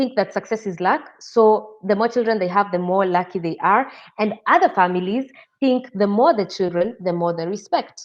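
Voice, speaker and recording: With a Kenyan accent, a woman speaks at a moderate pace and a medium pitch. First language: Kikuyu. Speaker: interview guest. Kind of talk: interview.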